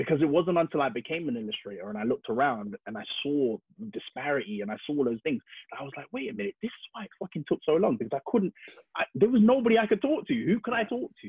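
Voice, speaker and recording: Over a quiet background, a man with a fairly high pitch speaks at a very fast pace in an energetic tone, with very wide swings in pitch, big swings in loudness and a dry sound with no echo. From London, England. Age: 30s. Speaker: illustrator; podcast guest. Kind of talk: casual interview. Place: home room.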